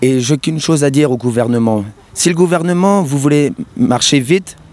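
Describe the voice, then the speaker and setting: With lively intonation, a man talks over noticeable background noise. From Brittany, France. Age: 20s. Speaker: protester. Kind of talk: street interview.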